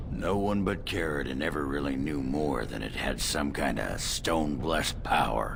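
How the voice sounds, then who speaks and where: A man's put-on character voice at a moderate pace, hardly any pauses, loud background noise behind it. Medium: game stream. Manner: gruff, blunt.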